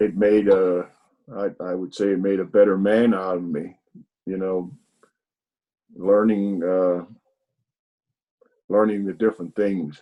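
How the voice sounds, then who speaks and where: In an American accent, a man with a very deep, low pitch and a dark, mellow tone speaks in a flat monotone with long, frequent pauses. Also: fairly slow pace. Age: 70s. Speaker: army veteran. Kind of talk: interview testimony. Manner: halting, many fillers.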